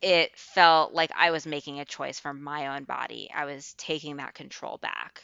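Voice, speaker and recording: A woman with an American accent speaks at a moderate pace in a very deep, low voice with vocal fry and monotone, flat intonation. Her loudness swings widely, and she hardly pauses. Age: 20s. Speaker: nonprofit worker, podcast guest. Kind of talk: casual interview chat.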